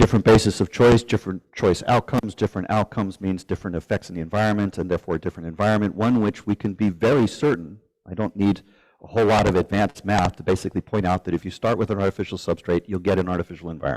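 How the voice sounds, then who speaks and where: The sound is dry and close with no echo. A man talks at a very fast pace in a fairly low pitch with ordinary pitch variation. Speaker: speaker giving a talk. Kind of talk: live presentation. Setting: event with live audience.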